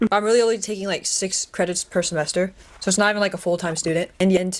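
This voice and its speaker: With an American accent, a woman speaks at a medium pitch and fairly even intonation on a very clean recording with a silent background. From US West Coast, Los Angeles. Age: 20s. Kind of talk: podcast interview, testimony. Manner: casual with frequent fillers.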